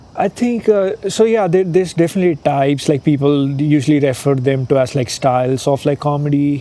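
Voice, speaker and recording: Over noticeable background noise, a man talks at a fairly quick pace with hardly any pauses. His pitch is fairly high with ordinary variation, and his loudness stays very even. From India. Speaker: stand-up comedian. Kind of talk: interview. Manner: casual, many fillers.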